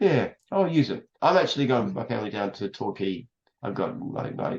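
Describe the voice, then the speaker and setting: Speaking at a fairly quick pace, a man with an Australian accent uses a medium pitch. His voice has vocal fry and very wide pitch swings. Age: 70s. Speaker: entrepreneur. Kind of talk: casual chat.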